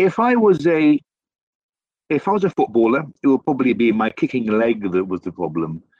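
In a British accent, a man speaks at a fairly quick pace with a medium pitch. His speech has very wide pitch swings and long, frequent pauses. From UK. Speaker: remote worker for a polytechnic. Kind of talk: casual chat. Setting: remote call. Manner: stammers.

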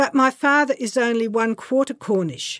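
The speaker talks at a fairly slow pace with an Australian accent and ordinary pitch variation. The recording is very clean, with a silent background. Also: woman. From rural Queensland, Australia. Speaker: memoir writer. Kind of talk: reading aloud.

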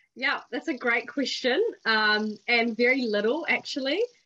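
A woman with a New Zealand accent and a bright, sharp tone. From New Zealand, Porirua near Wellington. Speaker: policy worker and community volunteer. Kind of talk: interview chat. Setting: video call.

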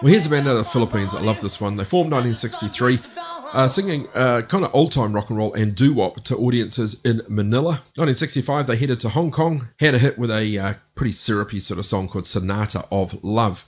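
Over music in the background, a man talks at a fairly quick pace in an upbeat tone. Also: medium pitch for a man, lively intonation. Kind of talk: radio DJ patter: back-announcing a music set with track and band trivia. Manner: brisk, upbeat, matter-of-fact rundown of bands and tracks.

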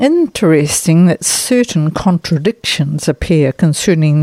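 A woman with a New Zealand accent speaks at a fairly slow pace. Her voice is very deep and low, with a dark, mellow tone and a dry, close sound with no echo. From New Zealand (Nelson). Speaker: overseas correspondent. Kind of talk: scripted report.

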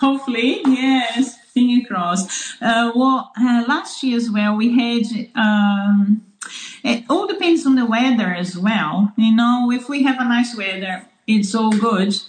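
A woman with a fairly high pitch and a Portuguese accent speaks very slowly with ordinary pitch variation amid noticeable background noise. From Brazil, São Paulo. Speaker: farmer. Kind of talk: interview. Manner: halting.

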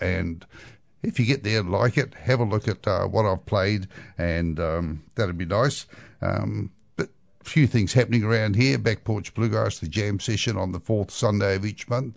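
Against a quiet background, a man with a New Zealand accent speaks at a moderate pace with a fairly low pitch and ordinary pitch variation. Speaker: radio host and bluegrass musician. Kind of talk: music radio presenting. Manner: relaxed, casual.

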